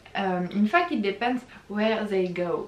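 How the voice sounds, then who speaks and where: A woman speaks very slowly at a medium pitch with ordinary pitch variation, against noticeable background noise. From France. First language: French. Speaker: YouTuber, exchange student. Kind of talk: casual vlog talk. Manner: hesitant, many fillers.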